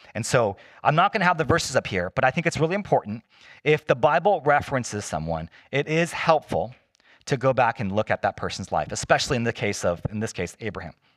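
A man with vocal fry talks very fast with very wide pitch swings, in a dry, close sound with no echo on a very clean recording with a silent background. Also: medium pitch for a man. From US, Chinese immigrant family. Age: 40s. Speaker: pastor. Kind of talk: sermon. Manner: casual, conversational.

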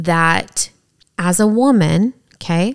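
With a Southern US accent, a woman speaks at a fairly low pitch in a dry, close sound with no echo. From East Tennessee. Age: 30s. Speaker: podcast co-host. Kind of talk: casual chat.

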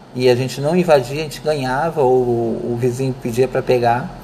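A man talks in a medium pitch, keeping to a moderate speed. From Rio de Janeiro suburbs, Brazil. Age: 50s. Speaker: student. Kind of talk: personal memoir presentation. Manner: unscripted, hesitant.

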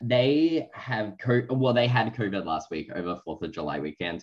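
Against a quiet background, a man with an Australian accent speaks at a fairly slow pace, medium in pitch, with lively intonation. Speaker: podcast co-host. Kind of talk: casual chat.

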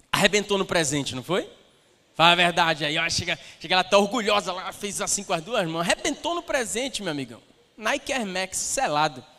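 Raised and projected, the voice moves at a fairly quick pace with lively intonation and an animated tone over noticeable background noise. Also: man, high pitch for a man. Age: 30s. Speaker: pastor. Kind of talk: sermon. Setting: church stage with audience.

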